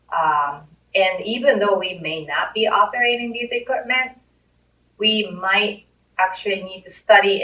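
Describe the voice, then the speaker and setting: Fairly slow speech from a woman in a Japanese accent, medium pitch, ordinary pitch variation. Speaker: safety coordinator. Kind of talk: career talk interview.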